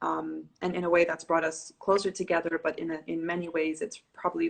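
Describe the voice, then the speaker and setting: Speaking at a moderate pace, a woman uses a fairly low voice. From Dubai. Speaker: yoga teacher. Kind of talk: casual chat.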